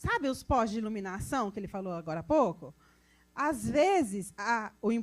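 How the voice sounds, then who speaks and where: In a rural Brazilian accent, the animated speaker moves at a moderate pace with very wide pitch swings. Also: woman. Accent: Brazilian countryside (interior). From interior of Brazil. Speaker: road safety specialist. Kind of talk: technical talk to audience.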